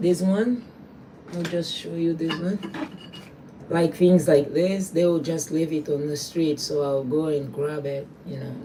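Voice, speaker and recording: Over noticeable background noise, a woman with a very deep, low pitch speaks fairly slowly with ordinary pitch variation. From Angola. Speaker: trash artist. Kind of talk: casual livestream tutorial. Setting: small home workspace. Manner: halting.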